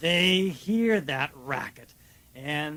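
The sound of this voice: The delivery is an unforced reading voice. It carries through the whole clip.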